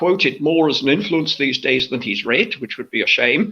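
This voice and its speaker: A man speaks with an English accent and ordinary pitch variation. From southern England, New Forest / Southampton area. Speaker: fantasy author. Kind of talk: interview book chat. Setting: live online chat.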